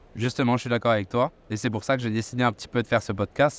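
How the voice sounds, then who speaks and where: Very fast speech comes from a man at a medium pitch. The recording is very clean, dry and close, with a silent background and no echo. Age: 20s. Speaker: podcast host. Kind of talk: podcast interview. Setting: aviation trade show.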